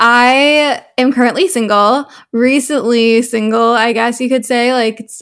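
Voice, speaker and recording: A woman with a Canadian accent and an ordinary speaking voice, fairly high pitch, fairly even intonation and a fairly slow pace, in a very clean recording with a silent background. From Canada, Toronto. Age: 20s. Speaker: lifestyle content creator and student. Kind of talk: casual interview chat.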